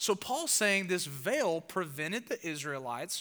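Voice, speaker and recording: In a very clean recording with a silent background, a man speaks with a bright, sharp tone in a Southern US accent. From US South. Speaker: pastor. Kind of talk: sermon. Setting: church.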